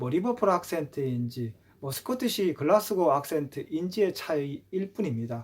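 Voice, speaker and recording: A man with fairly high pitch talks at a moderate pace, his voice making very wide pitch swings. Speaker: YouTuber on English language. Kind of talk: casual talk to camera. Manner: hesitant, many fillers.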